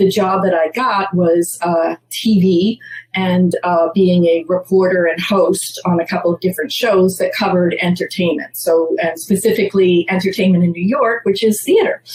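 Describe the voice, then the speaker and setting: A woman with an American accent speaks at a moderate pace, with hardly any pauses and very even loudness. Her intonation is fairly even, and there is noticeable background noise. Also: medium pitch for a woman. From Massachusetts, US. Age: 60s. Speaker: theater producer. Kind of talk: interview.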